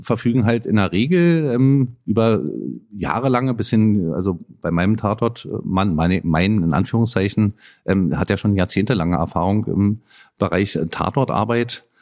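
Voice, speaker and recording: A man's fairly low voice at a fairly slow pace, with lively intonation, very even loudness and long, frequent pauses. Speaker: homicide detective. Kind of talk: interview. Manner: halting, many fillers.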